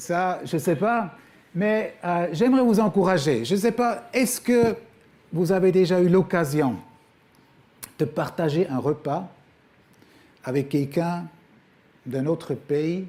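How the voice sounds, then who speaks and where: Speaking with a Swiss German accent, a man with a high pitch and a dark, mellow tone uses lively intonation. His pace is very slow, with long, frequent pauses. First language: Swiss German (speaking French). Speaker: guest preacher, former missionary. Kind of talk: sermon. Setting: church. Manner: hesitant, many fillers.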